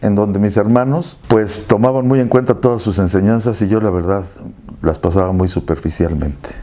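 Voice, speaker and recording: Lively intonation from a man with a fairly low pitch and a dark, mellow tone. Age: 70s. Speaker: family member interviewee. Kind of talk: documentary interview.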